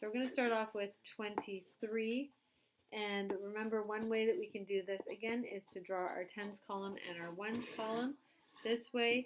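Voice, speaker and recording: Noticeable background noise sits behind a woman's voice. Her intonation is fairly even. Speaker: teacher. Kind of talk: tutorial.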